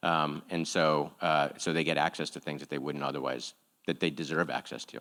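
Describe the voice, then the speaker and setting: At a fairly quick pace, the voice has a bright, sharp tone and vocal fry, delivered with monotone, flat intonation. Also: man, very deep, low pitch for a man. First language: not English. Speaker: nonprofit executive. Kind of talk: panel Q&A. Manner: halting, many fillers.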